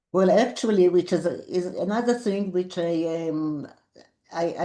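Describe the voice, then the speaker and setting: Her tone is dark and mellow as a woman speaks at a very slow pace. Her pitch varies in an ordinary way. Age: 80s+. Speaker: Holocaust survivor. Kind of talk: interview answer. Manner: hesitant, searching for words.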